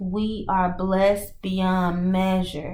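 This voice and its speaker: A woman speaks very slowly in a flat monotone at a medium pitch, with audible room echo around her. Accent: Mississippi. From US South, Mississippi. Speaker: spiritual reader and coach. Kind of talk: channeled oracle and tarot message. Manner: halting, with frequent fillers and restarts.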